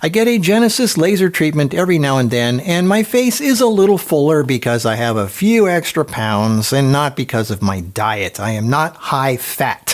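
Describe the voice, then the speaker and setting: A man speaks with very wide pitch swings. There is noticeable background noise. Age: 60s. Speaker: health and lifestyle content creator. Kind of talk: casual monologue to camera. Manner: fast.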